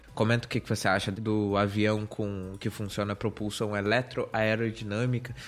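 Keeping very even loudness and hardly any pauses, a man speaks at a moderate pace in a fairly low, monotone voice with flat intonation. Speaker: tech podcast host. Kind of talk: casual chat.

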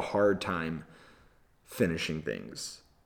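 With an American accent, a man is talking. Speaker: video podcaster and storyteller. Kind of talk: casual solo video podcast. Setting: video camera, solo recording. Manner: conversational, reflective.

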